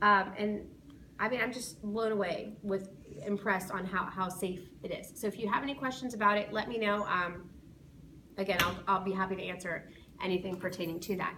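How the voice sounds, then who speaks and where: Delivered at a fairly quick pace with fairly even intonation, the speech carries audible room echo and noticeable background noise. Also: woman, medium pitch for a woman. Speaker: school safety patrol sponsor teacher. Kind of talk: informational talk to parents. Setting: being recorded by students. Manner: fast.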